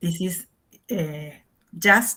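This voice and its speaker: Speaking very slowly in an Argentine accent, a woman has a fairly low pitch, a bright, sharp tone and fairly even intonation. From Argentina. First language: Spanish. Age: 60s. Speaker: English teacher. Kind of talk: lecture. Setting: video call. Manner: halting.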